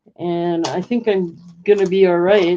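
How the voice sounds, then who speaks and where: This woman keeps a medium pitch and fairly even intonation, talking very slowly. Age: 70s. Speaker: online auction seller. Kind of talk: live sale stream, casual chat. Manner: chatty, rambling.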